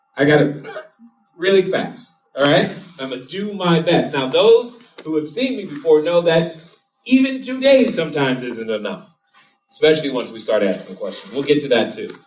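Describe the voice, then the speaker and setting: A man's voice moves through very wide pitch swings. Audible room echo surrounds it. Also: fairly high pitch for a man, moderate pace, big swings in loudness. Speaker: real estate investor speaking at an event. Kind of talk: live seminar talk. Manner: animated.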